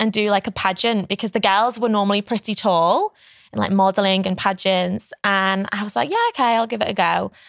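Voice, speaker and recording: A woman's fairly high voice at a moderate pace, with ordinary pitch variation and a dry sound with no echo against a quiet background. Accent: English. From England. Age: 20s. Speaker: pageant winner and entrepreneur; podcast guest. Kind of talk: interview. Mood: relaxed, friendly. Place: studio. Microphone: studio mic.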